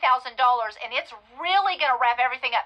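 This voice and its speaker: A woman with a Texan accent speaks in a raised, projected voice with lively intonation, over noticeable background noise. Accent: Texan US Southern. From West Texas. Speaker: real estate investor and coach. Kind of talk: webinar presentation.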